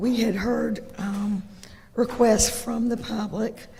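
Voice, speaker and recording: A woman with an American accent talks at a fairly high pitch in a monotone, flat delivery at a fairly slow pace. Noticeable background noise and audible room echo are present. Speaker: county commissioner. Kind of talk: public meeting presentation. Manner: halting, many fillers.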